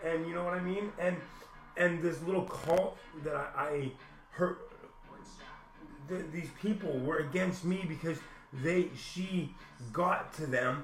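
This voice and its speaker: A man with a high pitch speaks at a fairly slow pace, his intonation fairly even, with long, frequent pauses. Room echo and background noise are both noticeable. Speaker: vlogger. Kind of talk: personal rant. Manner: halting.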